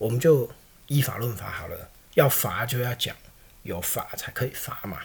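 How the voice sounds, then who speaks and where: The speaker pauses long and often. Loudness rises and falls sharply. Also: man. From Taiwan. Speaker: podcast host. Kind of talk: political commentary monologue. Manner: conversational, frequent filler particles.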